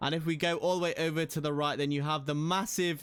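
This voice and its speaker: On a very clean recording with a silent background, a man with a British accent speaks at a moderate pace in a fairly high pitch. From England, Midlands (Nottingham). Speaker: gaming YouTuber. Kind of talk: gameplay commentary.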